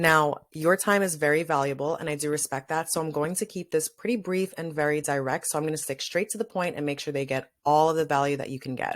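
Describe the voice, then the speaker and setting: The pace is very fast, with hardly any pauses. A woman talks in a very deep, low pitch. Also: ordinary pitch variation. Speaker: fitness coach. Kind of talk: webinar presentation.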